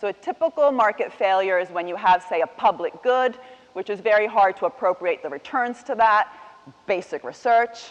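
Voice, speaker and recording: Amid noticeable background noise, a woman with an American accent speaks at a moderate pace in a fairly high pitch with lively intonation. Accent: sounds American. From Italian, raised partly in the US. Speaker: economics professor, keynote speaker. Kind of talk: keynote lecture. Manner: conversational, many fillers.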